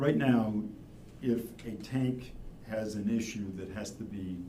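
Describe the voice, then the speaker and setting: Over noticeable background noise and audible room echo, a man talks at a fairly low pitch. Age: 70s. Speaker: wastewater engineer or consultant. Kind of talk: public meeting presentation.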